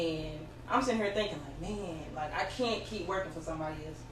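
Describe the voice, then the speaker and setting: A woman's voice comes with noticeable background noise. Audible room echo is present too. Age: 30s. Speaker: hairstylist. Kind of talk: interview.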